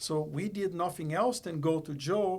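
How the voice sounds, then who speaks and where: A man speaks with a non-native accent. His pitch is high and his pace moderate. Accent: foreign. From Brazil. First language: Portuguese. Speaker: company executive. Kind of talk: podcast interview.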